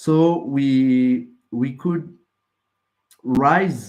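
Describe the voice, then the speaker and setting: Using lively intonation, a man speaks at medium pitch with a French accent. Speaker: project founder pitching. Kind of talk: project pitch. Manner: halting.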